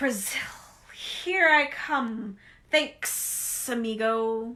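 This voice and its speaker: A woman uses a put-on character voice, pitched high and delivered at a very slow pace. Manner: hissed.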